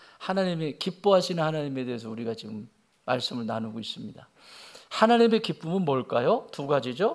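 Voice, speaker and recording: Over a very clean, silent background, a man with a fairly high pitch talks at a fairly quick pace with very wide pitch swings. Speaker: senior pastor. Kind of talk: sermon.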